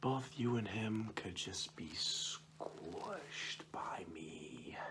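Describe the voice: Whispering at a very slow pace, a man performs a put-on character voice.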